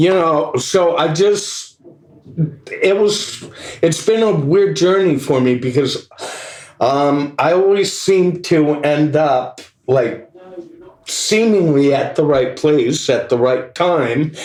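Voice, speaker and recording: A man's fairly high-pitched voice at a very slow pace, with long, frequent pauses, very even loudness, ordinary pitch variation, audible room echo, and noticeable background noise. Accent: American. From US West Coast, Los Angeles. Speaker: guitarist. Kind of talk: casual chat. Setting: pub. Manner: halting, many fillers.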